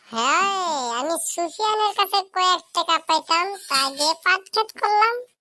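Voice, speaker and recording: A woman puts on a squeaky, cartoonish character voice pitched extremely high. Her intonation is lively and her loudness stays very even. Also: moderate pace. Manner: chatty, folksy.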